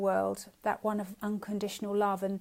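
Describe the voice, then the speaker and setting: Her voice is fairly high, a woman with a South London accent. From South London, England. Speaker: spiritual teacher / shamanic practitioner. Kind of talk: live-streamed teaching. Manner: halting, with many fillers and repetitions.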